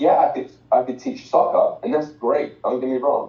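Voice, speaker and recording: Here a man speaks in an English accent. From England, outside London. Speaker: financial educator, former soccer coach. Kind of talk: motivational talk. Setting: video call.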